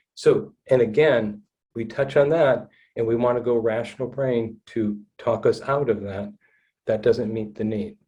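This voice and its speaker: A man speaks at a medium pitch with a dark, mellow tone that is somewhat breathy. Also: fairly even intonation. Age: 60s. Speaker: trauma-informed counselor. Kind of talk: podcast interview, personal story. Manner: halting, repeats words.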